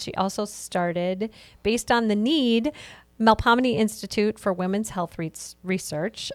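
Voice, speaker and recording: Fairly slow speech from a woman at medium pitch with ordinary pitch variation, a normal speaking voice, and a dry, close sound with no echo on a very clean recording with a silent background. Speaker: podcast host. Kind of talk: podcast interview.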